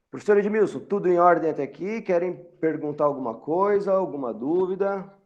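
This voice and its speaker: In a room with audible echo, a man speaks fairly quickly in a high voice with ordinary pitch variation. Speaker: university lecturer. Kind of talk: lecture. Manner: halting.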